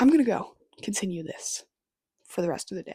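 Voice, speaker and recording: A woman talks at a fairly quick pace. Her tone is dark and mellow, and somewhat breathy. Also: dry, close sound with no echo. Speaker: book vlogger. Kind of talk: casual vlog talk to camera. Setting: in bed at home.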